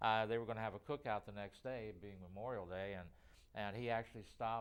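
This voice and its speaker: At a fairly quick pace, a man with a medium pitch speaks in a Midwestern American accent. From Ohio, Middletown. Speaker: horror show TV host. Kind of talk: casual interview. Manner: halting, many fillers.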